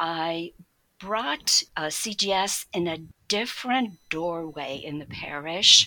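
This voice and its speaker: A woman with a fairly low pitch speaks at a very slow pace. Her tone is bright and sharp, with ordinary pitch variation. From Poland. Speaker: catechist and Montessori teacher. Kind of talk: interview.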